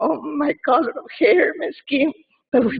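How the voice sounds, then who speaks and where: Speaking with an Argentine accent, a woman uses a high pitch and lively intonation at a moderate pace. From Argentina. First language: Spanish. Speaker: community member speaking at a wake. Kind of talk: eulogy read aloud. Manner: halting, many fillers and repeats.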